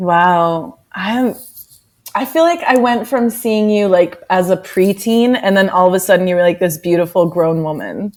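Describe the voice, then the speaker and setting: At a moderate pace and medium pitch, a woman with an American accent talks in an ordinary speaking voice with ordinary pitch variation. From United States. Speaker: yoga and social justice activist. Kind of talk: interview.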